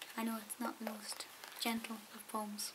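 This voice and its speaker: A soft-spoken woman whispering at a moderate pace, with noticeable background noise. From Scotland. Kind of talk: ASMR talk to camera. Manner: soft-spoken, whispered.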